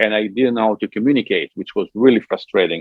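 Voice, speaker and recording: A man's medium-pitched voice in an Italian accent. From Italy. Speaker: musician and Italian diction coach. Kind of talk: interview. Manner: halting.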